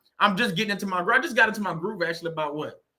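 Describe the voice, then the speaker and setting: A man with a Southern US accent uses a raised, projected voice at a high pitch and an animated tone. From US South. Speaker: YouTuber on narcissistic abuse recovery. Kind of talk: casual monologue. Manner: halting.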